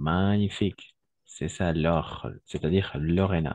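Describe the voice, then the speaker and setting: At a very slow pace, a man speaks with a very deep, low pitch and fairly even intonation. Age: 30s. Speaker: French teacher. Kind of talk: online class.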